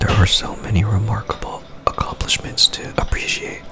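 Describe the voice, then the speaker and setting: Whispering at a moderate pace, a man is heard over noticeable background noise. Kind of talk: ASMR book reading. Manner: whispered, soft-spoken.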